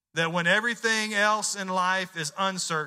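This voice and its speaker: With a Southern US accent and a bright, sharp tone, the speaker goes at a fairly slow pace with ordinary pitch variation in a very clean recording with a silent background. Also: man. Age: 40s. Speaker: pastor. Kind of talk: sermon.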